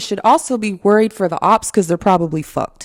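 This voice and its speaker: Woman's medium-pitched voice with an American accent, dry and close with no echo. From California. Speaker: celebrity news commentator. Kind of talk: casual commentary. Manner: conversational, many fillers.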